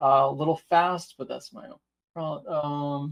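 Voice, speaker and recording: This man has a fairly high pitch. His intonation is fairly even. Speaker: IT trainer. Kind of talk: webinar tutorial. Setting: online webinar. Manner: fast; hesitant fillers.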